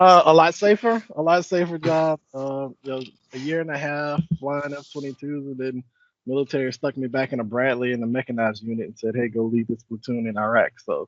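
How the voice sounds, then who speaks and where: In a Southern Louisiana accent, a man speaks at a fairly quick pace and a fairly high pitch. His pitch variation is ordinary, and his loudness swings widely. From South Louisiana, US South. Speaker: software program manager, military veteran. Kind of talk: casual interview chat.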